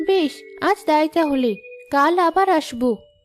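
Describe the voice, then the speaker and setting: A female-sounding, cartoonish character voice comes through at a high pitch. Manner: sweet, warm.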